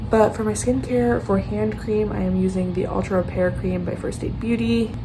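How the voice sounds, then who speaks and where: A woman talks at a moderate pace, with audible room echo and noticeable noise behind her. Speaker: lifestyle vlogger. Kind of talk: vlog narration. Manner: casual, filler-heavy; talking quietly.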